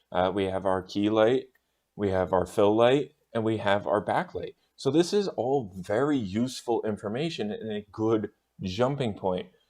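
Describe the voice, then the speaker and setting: Lively intonation marks this man's unremarkable speaking voice, which sits at a fairly low pitch. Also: moderate pace. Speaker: video production specialist. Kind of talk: tutorial.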